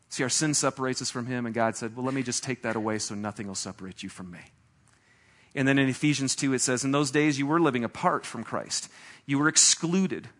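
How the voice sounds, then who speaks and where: Very fast and animated, a man talks at medium pitch with ordinary pitch variation and big swings in loudness. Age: 40s. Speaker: pastor. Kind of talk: sermon.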